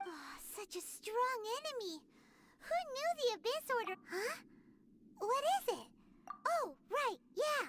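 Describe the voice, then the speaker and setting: A put-on character voice rises to an extremely high pitch. It goes at a fairly slow pace with long, frequent pauses. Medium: video game. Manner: excitable, chatty.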